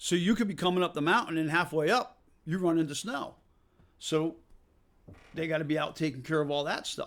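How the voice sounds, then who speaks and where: This man talks at a fairly quick pace with a slight Massachusetts accent, his fairly high pitch showing ordinary variation, broken up by long, frequent pauses. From Massachusetts, near Worcester. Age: 50s. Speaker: off-road park owner. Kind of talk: interview.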